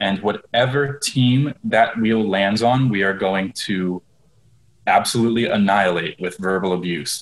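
A man talks in a plain, everyday voice, pitched fairly low, with ordinary pitch variation. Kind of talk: casual comedic banter. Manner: joking, sarcastic.

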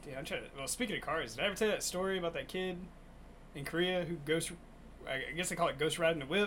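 This man's voice sits high in pitch. He speaks at a very fast pace. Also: ordinary pitch variation. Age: 30s. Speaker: comedy podcast host. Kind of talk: casual chat.

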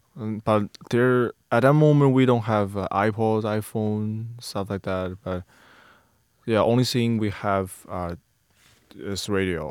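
Speaking very slowly with a Chinese accent, a man uses ordinary pitch variation at a fairly low pitch. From China. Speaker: student podcast co-host. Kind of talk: casual chat. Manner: halting.

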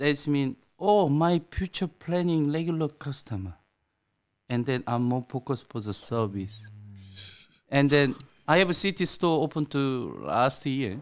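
On a very clean recording with a silent background, a man with a fairly high pitch and lively intonation talks at a fairly slow pace, leaving long, frequent pauses. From South Korea. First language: Korean. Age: 50s. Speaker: sushi restaurant owner. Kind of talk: casual interview. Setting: studio.

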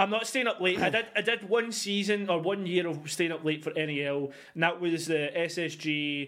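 A man's high-pitched voice in a Scottish accent, at a moderate pace, with ordinary pitch variation and hardly any pauses. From Scotland. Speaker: esports podcast host. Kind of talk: casual chat.

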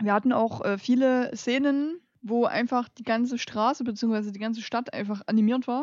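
Her pitch is high and her intonation fairly even. The woman keeps a moderate pace. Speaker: trash film podcast co-host. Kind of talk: casual chat. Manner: soft-spoken. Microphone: too quiet, turned up.

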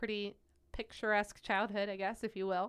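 A woman with a Midwestern American accent at medium pitch, moderate pace and monotone, flat intonation, on a very clean recording with a silent background. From Ohio, near Akron. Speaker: pediatric oncology nurse. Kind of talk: casual chat.

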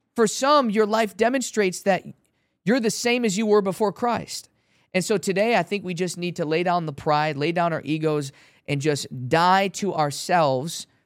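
A man's high-pitched voice with an American accent, lively intonation and a moderate pace, on a very clean recording with a silent background. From Chicago. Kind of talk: testimony. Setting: studio.

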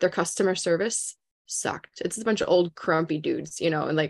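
A woman with an Upper Midwestern accent and ordinary pitch variation. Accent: Upper Midwestern American.

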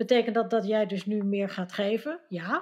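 An ordinary speaking voice at a moderate pace. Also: woman. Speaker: Dutch expat panelist. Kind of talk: casual chat.

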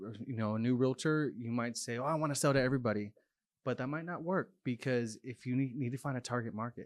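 With a plain, everyday voice, a man speaks at a medium pitch and a fairly quick pace with ordinary pitch variation. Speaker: marketing coordinator, recent graduate. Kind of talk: casual chat.

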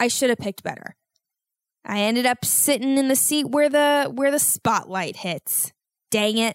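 On a very clean recording with a silent background, a woman with a high pitch speaks at a moderate pace and varies her pitch an ordinary amount. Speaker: podcast host. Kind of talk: casual solo monologue. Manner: rambling, many fillers.

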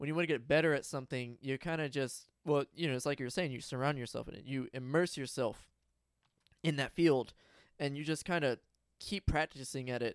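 On a very clean recording with a silent background and a dry, close sound with no echo, a man speaks at a fairly quick pace in a fairly high voice with fairly even intonation. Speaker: podcast host. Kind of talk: casual chat. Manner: rambling, halting.

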